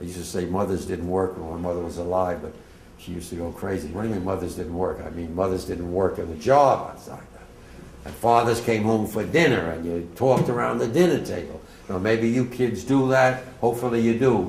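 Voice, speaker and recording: Fairly quick speech with lively intonation, audible room echo and noticeable background noise. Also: man, very deep, low pitch for a man, big swings in loudness. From New Jersey, Bergen County (Englewood). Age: 80s+. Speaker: war veteran. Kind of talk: testimony. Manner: casual, digressive.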